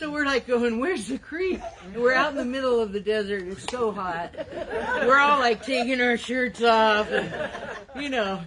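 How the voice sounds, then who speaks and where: Lively intonation and big swings in loudness fill a high-pitched woman's speech at a moderate pace, with noticeable background noise behind her. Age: 70s. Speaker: friend giving a eulogy. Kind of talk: eulogy, personal anecdotes. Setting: outdoor memorial in a park, filmed. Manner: casual, chatty.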